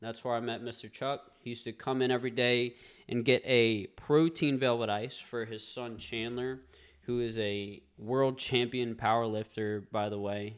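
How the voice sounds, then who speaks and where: With an ordinary speaking voice, a man at medium pitch talks at a moderate pace with fairly even intonation. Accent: American. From US South, Covington, Louisiana. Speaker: podcast host, real estate. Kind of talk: casual podcast conversation.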